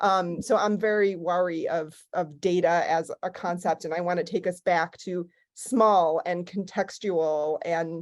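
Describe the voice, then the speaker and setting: In a Chicago accent, a woman talks at a fairly slow pace and a fairly low pitch, her intonation fairly even over a quiet background. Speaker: archival scholar. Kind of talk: panel discussion. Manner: casual, many fillers.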